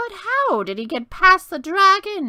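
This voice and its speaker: A female-sounding voice performs a put-on character, squeaky and creaky. It is raised and projected at an extremely high pitch. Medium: read story. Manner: muttering.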